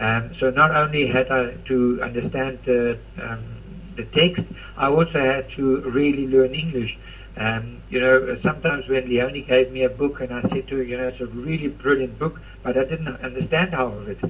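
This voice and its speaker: Noticeable background noise is present while a man talks at a moderate pace. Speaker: network marketing leader. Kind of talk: motivational talk on a conference call. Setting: conference call.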